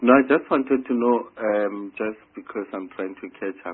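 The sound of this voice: A man with a fairly low voice and a slightly husky edge talks at a moderate pace, his pitch moving in an ordinary way.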